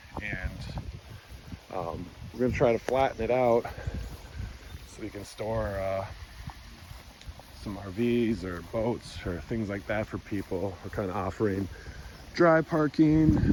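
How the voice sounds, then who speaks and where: Against noticeable background noise, a man with a fairly low pitch and lively intonation talks at a fairly slow pace. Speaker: rural homesteader vlogger. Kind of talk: casual walkaround vlog. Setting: outdoors.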